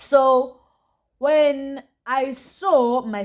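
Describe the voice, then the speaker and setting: Her voice sits at a high pitch for a woman. She shows ordinary pitch variation. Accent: South African. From South Africa. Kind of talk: storytime, casual talk to camera. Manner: lively, chatty.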